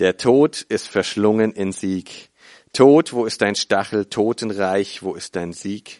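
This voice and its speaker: A man speaks very slowly in a fairly low, warm voice. The background is quiet, and the sound is dry and close with no echo. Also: ordinary pitch variation. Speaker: preacher. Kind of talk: sermon. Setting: church with congregation. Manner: earnest, teaching tone, explaining scripture step by step; warm, conversational storytelling with hesitations and repeats.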